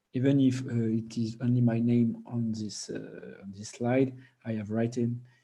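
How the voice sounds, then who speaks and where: A man speaks with a strong French accent. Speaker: PhD researcher presenting at a conference. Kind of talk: conference presentation. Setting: online video conference. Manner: halting, many fillers and repetitions.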